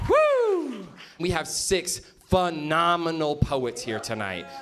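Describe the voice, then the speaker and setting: With music in the background, a man speaks very slowly in a high pitch with lively intonation. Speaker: event MC. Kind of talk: live show hosting. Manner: energetic, excited.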